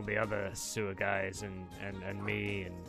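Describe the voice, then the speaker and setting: Faint music plays in the background as a man uses a raspy, put-on character voice. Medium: actual play. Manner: put-upon, complaining about his rebellious slimes; chatty, eccentric, casually grandiose.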